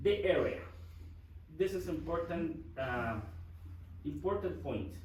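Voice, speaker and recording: A man with a Guatemalan accent, at a very slow pace, with audible room echo. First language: Spanish. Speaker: project manager. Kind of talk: presentation. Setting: church forum with audience. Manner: halting.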